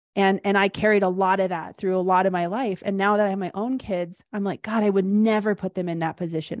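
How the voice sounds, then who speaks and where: A woman with a normal speaking voice talks at medium pitch and a fairly quick pace, her intonation fairly even. The sound is dry and close with no echo against a quiet background. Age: 40s. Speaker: life coach. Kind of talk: casual chat.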